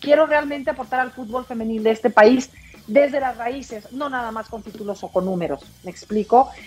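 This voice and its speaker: Over noticeable background noise, a woman with a Mexican accent speaks at high pitch and a fairly quick pace, with ordinary pitch variation and big swings in loudness. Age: 40s. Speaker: sports director and former sports journalist. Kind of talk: podcast interview.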